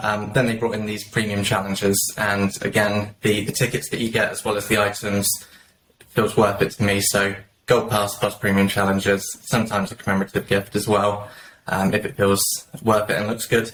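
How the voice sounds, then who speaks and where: At a fairly quick pace, a man speaks in a fairly low voice with monotone, flat intonation. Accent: British. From southern England, just south of London. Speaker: mobile game player, guest panelist. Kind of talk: casual panel chat.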